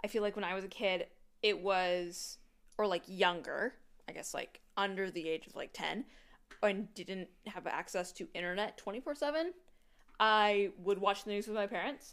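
This woman has a plain, everyday voice at a medium pitch with ordinary pitch variation. She talks at a moderate pace, with big swings in loudness. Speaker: podcast co-host. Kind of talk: casual chat.

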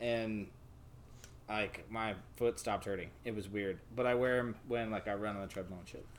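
A man with a fairly low pitch speaks at a moderate pace in a normal speaking voice. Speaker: podcast co-host. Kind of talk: casual chat over beers. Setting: home recording while drinking. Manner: loud, profane, excitable.

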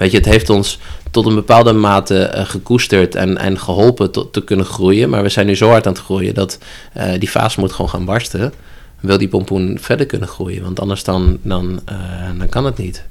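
A man talks in an unremarkable speaking voice at a fairly low pitch. He keeps a moderate pace with ordinary pitch variation. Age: 30s. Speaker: holistic coach. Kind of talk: interview conversation. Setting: upstairs room in a church.

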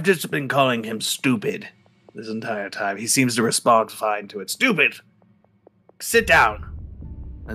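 Putting on a character voice, a man speaks at a fairly slow pace and a medium pitch, with big swings in loudness. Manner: haughty, curt, contemptuous.

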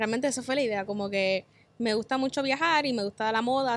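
A woman speaks in a normal speaking voice at a fairly quick pace. Her pitch is fairly high with ordinary pitch variation. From Puerto Rico, west (Cabo Rojo). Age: 20s. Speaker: travel content creator. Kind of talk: casual chat.

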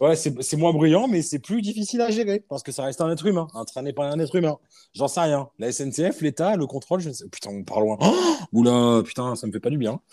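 At a fairly quick pace, the voice has a dark, mellow tone and very wide pitch swings. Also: man, fairly high pitch for a man. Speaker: podcast host. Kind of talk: casual chat. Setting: remote recording. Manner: animated.

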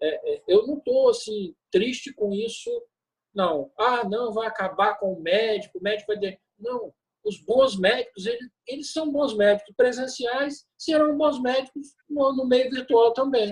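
Speaking fairly slowly, a man uses an extremely high-pitched voice with ordinary pitch variation. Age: 60s. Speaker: physician, anesthetist. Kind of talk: webinar panel discussion.

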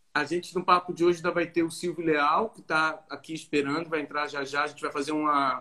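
A man's monotone, flat delivery at a fairly quick pace, with big swings in loudness. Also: fairly high pitch for a man, hardly any pauses. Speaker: live stream host, film festival curator. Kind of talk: casual online interview. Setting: video call live stream.

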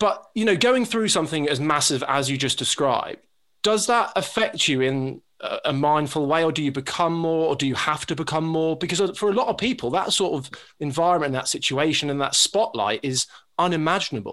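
A man with an unremarkable speaking voice, fairly high pitch, lively intonation and a fairly quick pace. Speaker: podcast co-host interviewer. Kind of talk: casual interview chat. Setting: video call.

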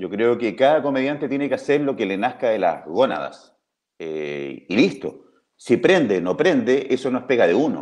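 At a moderate pace, a man with a medium pitch and vocal fry makes very wide pitch swings. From Chile, Talca. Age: 50s. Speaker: comedian and writer. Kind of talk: casual interview.

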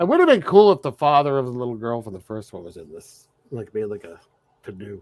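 Talking very fast at medium pitch, a man shows very wide pitch swings and big swings in loudness. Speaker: podcast co-host. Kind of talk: casual chat.

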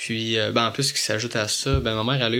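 Man at medium pitch with fairly even intonation. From Quebec, Montreal area. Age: 20s. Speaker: visually impaired young man. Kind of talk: interview. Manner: hesitant, many fillers.

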